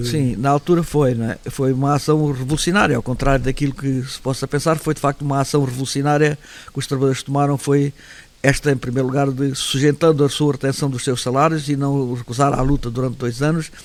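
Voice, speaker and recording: This man talks fairly quickly in a fairly high voice with monotone, flat intonation. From Setúbal region, Portugal. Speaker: former worker and local politician. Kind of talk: interview answer.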